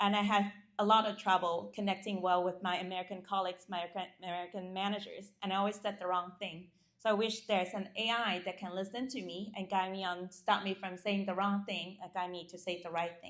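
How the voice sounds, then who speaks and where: A woman talks very fast at a medium pitch, her intonation flat and monotone. Her loudness swings widely. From China, rural village. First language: Chinese. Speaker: startup founder. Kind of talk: pitch and Q&A. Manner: halting with fillers and restarts.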